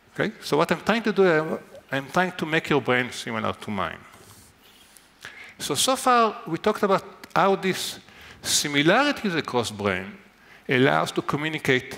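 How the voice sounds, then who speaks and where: With a fairly high pitch and vocal fry, a man speaks at a moderate pace in a bright, sharp tone, his pitch swinging very widely between long, frequent pauses. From Israel. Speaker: neuroscientist. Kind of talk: lecture.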